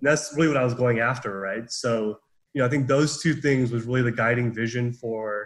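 A somewhat breathy man's voice at medium pitch, with an American accent, fairly quick pace and fairly even intonation. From Southern California. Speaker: business student, club president. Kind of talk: casual interview. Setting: video call.

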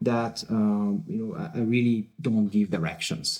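A man speaks at a fairly slow pace in a dark, mellow tone, his medium pitch swinging very widely up and down. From France. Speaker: data science team lead. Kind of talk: podcast interview. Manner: hesitant, many fillers.

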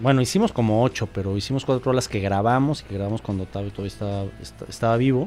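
A man with a Mexico City accent talks at a medium pitch. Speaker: rock singer and guitarist. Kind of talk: casual chat. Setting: studio.

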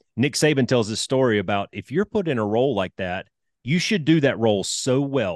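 With a Southern US accent, a man talks at a fairly quick pace and medium pitch, his intonation lively, the sound dry and close with no echo over a quiet background. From Alabama, US South. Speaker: retired fighter pilot. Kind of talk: casual interview.

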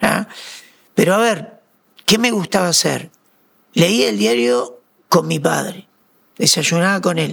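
A man's high voice with a Uruguayan accent, very wide pitch swings, a very slow pace and long, frequent pauses. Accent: Rioplatense Spanish (Uruguayan). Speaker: radio broadcaster and coach. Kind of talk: interview conversation.

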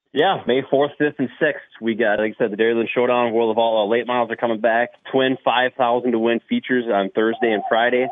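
In an American accent, a man with an ordinary speaking voice talks at a fairly quick pace and medium pitch, his loudness very even. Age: 30s. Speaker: race track promoter. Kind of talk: casual interview.

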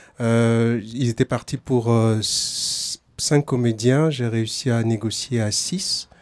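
Against noticeable background noise, a man speaks at a medium pitch. His pace is very slow and his intonation fairly even. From Togo. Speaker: playwright. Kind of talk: interview. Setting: outdoors.

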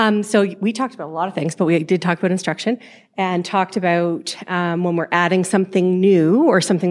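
With an ordinary speaking voice, a woman talks at a fairly quick pace and fairly low pitch, keeping her intonation fairly even in a very clean recording with a silent background. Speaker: educator. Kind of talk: group discussion report. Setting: stage with audience.

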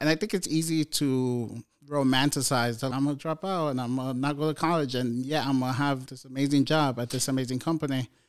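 Recorded very cleanly against a silent background, a man with an ordinary speaking voice and an American accent talks fairly quickly at medium pitch, with fairly even intonation and hardly any pauses. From New York City. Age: 30s. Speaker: software engineer. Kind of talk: casual chat. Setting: home studio.

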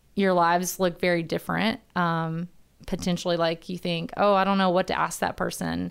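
This is a very clean recording with a silent background of a voice with an American accent. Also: woman. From Alabama, US South. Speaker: church missions staff and former teacher. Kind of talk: personal testimony. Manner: joyful, laughs often.

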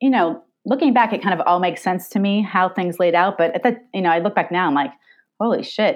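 A woman speaks in a normal speaking voice with an American accent. Her pitch sits in the medium range and varies in an ordinary way. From Long Island, New York. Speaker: scientist and filmmaker. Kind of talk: interview conversation.

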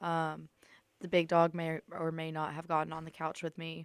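In a Southern US accent, a woman speaks at a moderate pace with a fairly low pitch. The sound is dry and close with no echo, a very clean recording with a silent background. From US South, Alabama. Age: 20s. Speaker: college radio host. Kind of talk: casual chat. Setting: studio.

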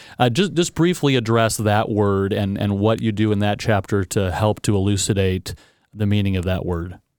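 At a moderate pace, a man with an unremarkable speaking voice talks with ordinary pitch variation in a very clean recording with a silent background. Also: fairly low pitch for a man. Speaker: podcast co-host. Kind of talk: casual chat.

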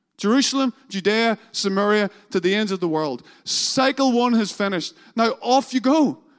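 In a Northern Irish accent, a man with a high pitch speaks at a moderate pace with ordinary pitch variation, the sound dry and close with no echo on a very clean recording over a silent background. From Northern Ireland. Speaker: pastor. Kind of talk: sermon. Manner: halting.

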